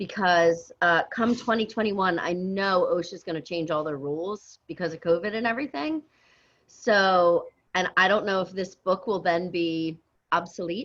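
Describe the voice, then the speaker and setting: This is a woman with an unremarkable speaking voice. Her pitch is medium, with ordinary pitch variation. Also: moderate pace. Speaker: dental infection control instructor. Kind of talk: online class review. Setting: video call.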